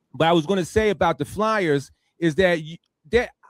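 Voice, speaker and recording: With ordinary pitch variation, a man speaks in a dry, close sound with no echo. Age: 50s. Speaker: radio talk show host. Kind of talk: casual interview chat.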